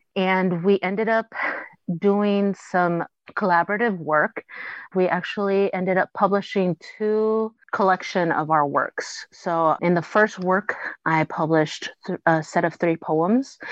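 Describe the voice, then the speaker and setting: A woman with an American accent talks at a fairly slow pace in a medium pitch and fairly even intonation, in an unremarkable speaking voice, recorded with a dry, close sound with no echo against a quiet background. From Mexican American family, US. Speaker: writer. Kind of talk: interview.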